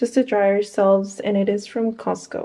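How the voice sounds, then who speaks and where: A woman's speech moves at a fairly slow pace, its intonation fairly even. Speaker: home vlogger. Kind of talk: casual vlog chat. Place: home room. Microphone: phone near.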